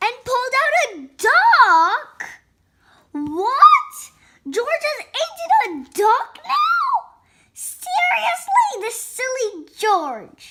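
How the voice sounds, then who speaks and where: A woman with an extremely high pitch and a bright, sharp tone speaks in a raised, projected voice at a very slow pace, with very wide pitch swings and big swings in loudness. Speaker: children's book reader. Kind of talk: children's picture book read-aloud. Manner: expressive, energized; wide pitch range, animated.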